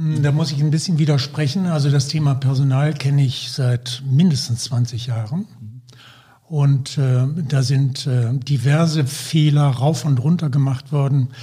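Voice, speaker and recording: At a fairly slow pace, a man with a fairly high pitch speaks over noticeable background noise. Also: fairly even intonation. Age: 70s. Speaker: healthcare consultant, former anaesthetist. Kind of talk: podcast interview.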